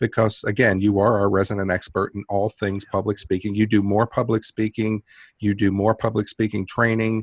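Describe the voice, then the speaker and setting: On a very clean recording with a silent background and a dry, close sound with no echo, a man speaks at a moderate pace in a fairly low, flat monotone. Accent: New York. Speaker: podcast host. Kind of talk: casual chat.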